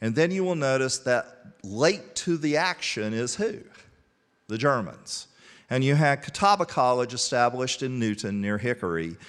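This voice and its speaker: A man's medium-pitched voice with very wide pitch swings at a moderate pace, over a quiet background. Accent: Southern US. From Statesville, North Carolina. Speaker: college historian. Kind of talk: lecture. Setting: parish hall with audience.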